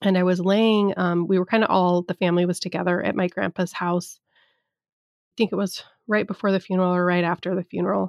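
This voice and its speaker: A woman's medium-pitched voice at a very fast pace, with monotone, flat intonation, big swings in loudness, and a dry, close sound with no echo. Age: 30s. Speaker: podcast host, business coach. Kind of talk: casual monologue, personal storytelling. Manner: hesitant, filler-laden.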